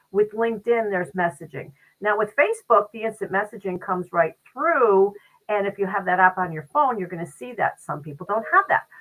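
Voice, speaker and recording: Speaking at a fairly quick pace, a woman has a medium pitch. Her intonation is lively and her loudness swings a lot. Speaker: podcast co-host and business owner. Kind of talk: casual conversational podcast chat. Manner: fast.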